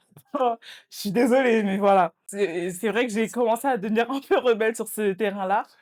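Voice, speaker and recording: A woman's fairly high voice at a moderate pace, with ordinary pitch variation and big swings in loudness. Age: 20s. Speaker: student and social media creator. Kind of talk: casual podcast chat. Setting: podcast recording. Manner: hesitant, many filler sounds.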